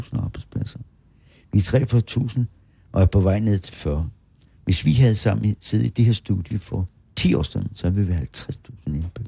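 A man with a dark, mellow tone and fairly low pitch speaks at a moderate pace with lively intonation, somewhat breathy. Long, frequent pauses break up his speech, and the sound is dry and close with no echo. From Bornholm. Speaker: local historian. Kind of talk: interview. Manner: animated.

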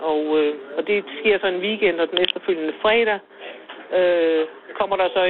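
Speaking at a fairly slow pace, a woman uses a fairly low pitch and fairly even intonation. She takes long, frequent pauses. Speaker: village shopkeeper. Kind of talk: casual chat. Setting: phone call.

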